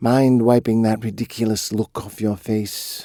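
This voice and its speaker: Putting on a character voice, a man drawls at a medium pitch in a flat monotone. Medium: read story. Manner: drawling; menacing.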